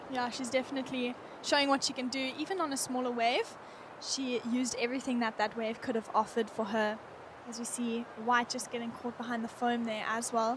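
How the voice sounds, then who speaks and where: Amid noticeable background noise, a woman speaks at a high pitch and a fairly quick pace. Her intonation is monotone and flat. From Cape Town, South Africa. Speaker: surf contest co-commentator. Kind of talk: live commentary.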